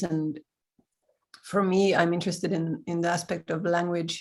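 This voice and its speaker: Speaking in a Swedish accent, a woman has a fairly low pitch. Her intonation is monotone and flat, at a moderate pace. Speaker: improviser. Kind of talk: casual chat.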